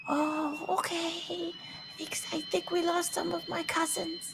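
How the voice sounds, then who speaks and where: Behind loud background noise, a put-on character voice speaks at a high pitch and a very slow pace. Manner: polite, a bit worried.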